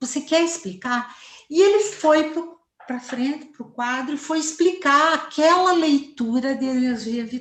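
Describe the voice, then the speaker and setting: A high-pitched woman's voice at a fairly slow pace, with very wide pitch swings. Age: 60s. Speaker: family therapist. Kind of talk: interview.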